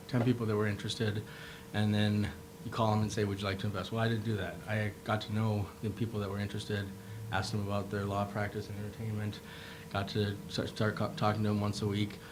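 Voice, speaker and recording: Delivered at a very fast pace in an Upper Midwest accent, the speech comes with audible room echo and noticeable background noise. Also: man, fairly low pitch for a man. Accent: Upper Midwest American. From Minnesota, Rochester. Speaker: medical device founder, entrepreneur. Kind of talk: panel discussion. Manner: animated.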